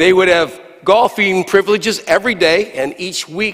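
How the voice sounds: Simply a natural reading voice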